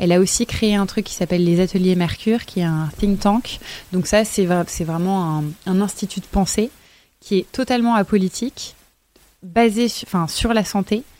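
Her tone is dark and mellow, and this woman talks at a moderate pace. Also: medium pitch for a woman, ordinary pitch variation. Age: 20s. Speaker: former model, actress and author. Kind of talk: casual chat. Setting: live stream.

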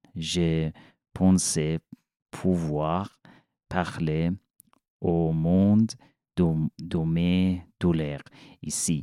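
With an Iranian accent, a man with a very deep, low voice speaks at a very slow pace with long, frequent pauses, very even loudness and monotone, flat intonation. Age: 40s. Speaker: refugee telling his story. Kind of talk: personal testimony in interview. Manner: halting, searching for words.

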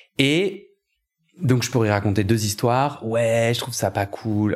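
The speech comes at a fairly slow pace with ordinary pitch variation. The recording is very clean, with a silent background. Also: man. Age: 30s. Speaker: podcaster and coach. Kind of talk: personal testimony in a casual interview. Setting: at home. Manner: halting, many hesitations.

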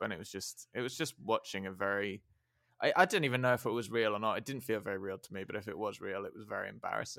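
Bright and sharp in tone, a man's fairly low voice races at a very fast pace with fairly even intonation. The recording is very clean and the background silent. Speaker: podcast host. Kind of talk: casual chat. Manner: dry, wry humor.

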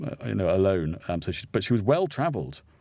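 A man's very deep, low voice at a fairly quick pace, on a very clean recording with a silent background. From St Albans, southern England. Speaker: writer and broadcaster. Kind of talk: casual chat. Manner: hesitant, many fillers.

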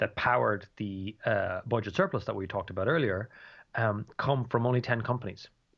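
Talking at a fairly quick pace, a man speaks with a Dublin accent. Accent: Irish (Dublin). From Ireland, Dublin. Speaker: economics professor. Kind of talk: interview. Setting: remote call from home. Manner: halting, many fillers and repetitions.

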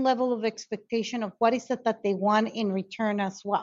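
Her pitch is fairly high and varies in an ordinary way. The woman speaks in a Spanish accent at a moderate pace. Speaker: conflict resolution consultant and educator. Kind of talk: interview conversation. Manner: halting, repeats words.

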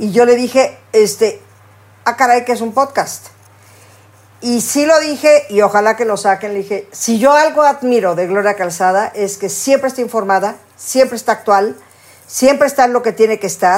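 A woman with a fairly high pitch talks at a moderate speed in a plain, everyday voice, her pitch varying in an ordinary way. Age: 60s. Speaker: podcast co-host. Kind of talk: casual chat.

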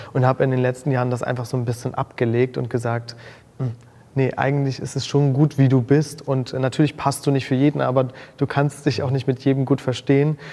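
The delivery is fairly quick, with a dark, mellow tone and monotone, flat intonation. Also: man, medium pitch for a man. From Mecklenburg-Vorpommern, northeastern Germany. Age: 20s. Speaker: make-up artist and influencer. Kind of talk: casual interview chat.

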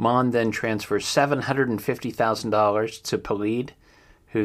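American-accented man with ordinary pitch variation, on a very clean recording with a silent background. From Ohio. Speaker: true crime podcast host. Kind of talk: news roundup with commentary. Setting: home studio. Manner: hesitant, many fillers.

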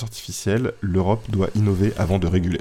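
A man talks in a fairly low pitch with a dark, mellow tone. His intonation stays fairly even. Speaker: podcast host. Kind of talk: casual explainer monologue. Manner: hesitant with many fillers.

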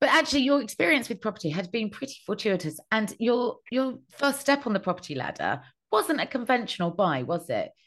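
A woman with a British accent talks at a fairly quick pace, barely pausing, her fairly high voice making very wide pitch swings. The background is quiet. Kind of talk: casual interview chat.

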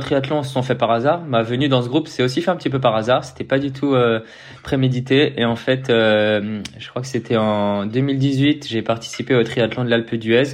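A man with an unremarkable speaking voice, a medium pitch, and fairly even intonation. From Paris region, France. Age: 20s. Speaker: professional triathlete. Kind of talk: casual interview.

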